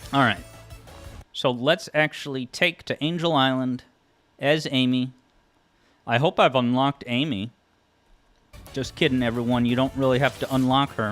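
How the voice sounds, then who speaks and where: Medium-pitched and with a Massachusetts accent, a man speaks at a moderate pace. He leaves long, frequent pauses. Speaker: music theory YouTuber and game streamer. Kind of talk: casual live stream chat. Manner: animated, with frequent stammered repeats.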